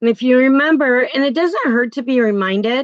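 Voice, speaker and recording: A loud woman's voice with lively intonation, dry and close with no echo. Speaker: crochet video creator. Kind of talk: tutorial. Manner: casual, chatty.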